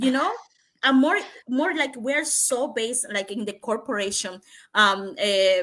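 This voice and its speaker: Bright and sharp in tone, a woman talks at a high pitch and a fairly slow pace with lively intonation. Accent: non-native. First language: Spanish. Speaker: digital entrepreneur. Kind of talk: interview. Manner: halting.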